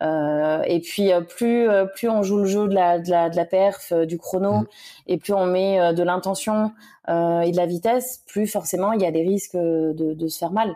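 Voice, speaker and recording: A woman speaks at a fairly slow pace with a dark, mellow tone and medium pitch. Her pitch variation is ordinary, and the recording is very clean with a silent background. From France, Le Mans (Sarthe). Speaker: trail runner. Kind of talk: casual interview.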